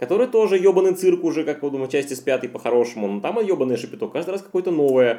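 Speaking very fast with hardly any pauses, a man uses a fairly high pitch and very wide pitch swings. His tone is dark and mellow. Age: 30s. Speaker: podcast host. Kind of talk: casual chat.

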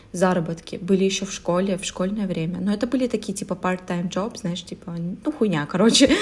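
A woman speaks at a fairly quick pace, her medium pitch showing ordinary variation. Her voice is somewhat breathy. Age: 20s. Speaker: podcast co-host. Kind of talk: casual chat.

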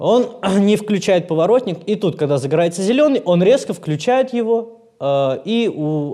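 This man's voice is high-pitched with a dark, mellow tone, and his intonation is lively. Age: 30s. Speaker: actor. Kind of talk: casual chat.

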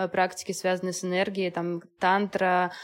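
At a moderate pace, a woman with an unremarkable speaking voice talks in a medium pitch. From Belarus (Minsk). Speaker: astrologer and mother. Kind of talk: casual interview chat.

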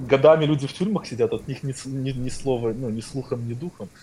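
A man talks at a very fast pace with lively intonation. His voice is somewhat breathy. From Belarus. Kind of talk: casual chat. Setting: Telegram call.

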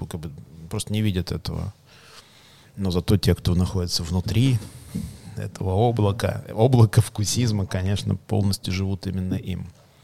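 Pitched very deep and low, a man talks at a moderate pace with fairly even intonation and long, frequent pauses. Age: 40s. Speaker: coffee company executive. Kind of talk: casual interview chat. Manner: measured pace.

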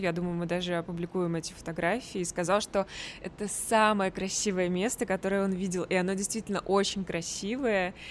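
Speaking at a fairly quick pace, a woman with an ordinary speaking voice holds a medium pitch and fairly even intonation. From Russia, Tver. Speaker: podcast host. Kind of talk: casual chat.

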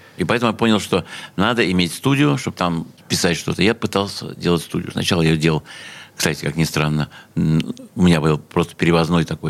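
Fairly quick male speech, very deep and low, its pitch moving in an ordinary way. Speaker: sound engineer and music producer. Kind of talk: interview reminiscences. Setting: radio studio.

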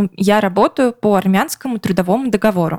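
At a moderate pace, a woman with an ordinary speaking voice and medium pitch varies her pitch in an ordinary way, recorded dry and close with no echo. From Russia. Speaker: podcast co-host. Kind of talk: casual chat.

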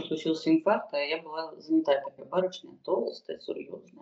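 Moving at a fairly quick pace, a woman uses an ordinary speaking voice with ordinary pitch variation. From Moscow, Russia. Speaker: stand-up comedian and fitness trainer. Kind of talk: casual interview chat.

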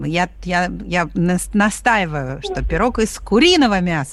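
A woman speaks over noticeable background noise. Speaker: radio host. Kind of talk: live radio talk show. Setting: studio.

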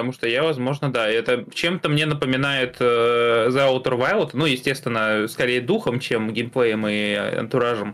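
Noticeable background noise runs behind a man with a medium pitch. His pitch variation is ordinary and his loudness very even. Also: moderate pace. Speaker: gaming news podcast co-host. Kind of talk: casual chat.

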